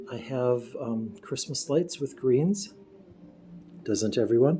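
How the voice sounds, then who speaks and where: With an American accent, a man talks at a very slow pace and a medium pitch, his intonation lively, as music plays behind him. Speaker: home video tour guide. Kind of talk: home tour narration.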